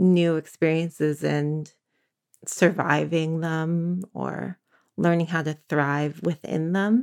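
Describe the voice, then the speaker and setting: Her intonation stays fairly even as she talks with an American accent. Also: dry, close sound with no echo. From San Francisco, California. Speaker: divorcing mother. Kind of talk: interview. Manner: halting.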